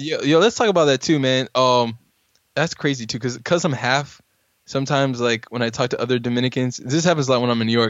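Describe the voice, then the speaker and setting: Speech comes at a very fast pace in an American accent. The pitch varies in an ordinary way. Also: man, medium pitch for a man. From US, Norfolk, Virginia. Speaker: podcast host. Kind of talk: casual chat.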